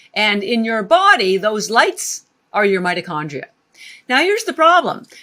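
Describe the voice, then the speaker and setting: A woman speaks at a moderate pace in a fairly high pitch with a bright, sharp tone. Her delivery is animated, with very wide pitch swings. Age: 60s. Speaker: wellness entrepreneur, company founder. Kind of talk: podcast interview.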